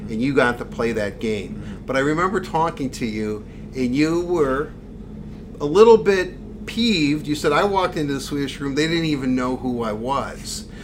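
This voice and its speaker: The speaker uses lively intonation at a moderate pace, with noticeable background noise behind. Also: man, fairly high pitch for a man. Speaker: podcast host. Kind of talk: casual interview.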